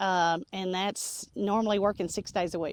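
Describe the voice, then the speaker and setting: A woman with a Tennessee accent, moderate pace and fairly even intonation, on a very clean recording with a silent background and a dry, close sound with no echo. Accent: Southern US (Tennessee). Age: 60s. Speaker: nursery co-owner. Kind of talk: interview. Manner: hesitant, many fillers.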